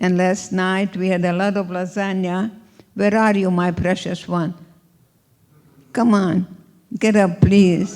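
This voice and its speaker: The speech comes in a Hungarian accent at a fairly slow pace with monotone, flat intonation. Long, frequent pauses break it up. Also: woman, medium pitch for a woman. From Hungary. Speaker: Holocaust survivor and speaker. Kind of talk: inspirational talk.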